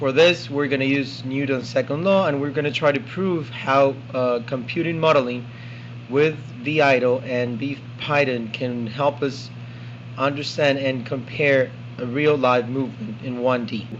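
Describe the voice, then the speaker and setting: A man at medium pitch speaks with fairly even intonation, amid noticeable background noise and audible room echo. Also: moderate pace. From South America. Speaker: student. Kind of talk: tutorial. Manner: halting.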